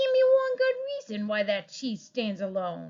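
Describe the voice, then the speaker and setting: A female-sounding put-on character voice at a moderate pace. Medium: read story. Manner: sly, grumbling.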